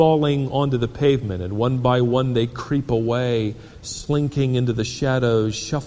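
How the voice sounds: Natural-voiced reading aloud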